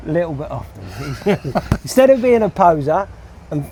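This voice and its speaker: A man's high voice with very wide pitch swings, a moderate pace, and noticeable background noise. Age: 60s. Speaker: hod carrier. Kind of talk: casual interview.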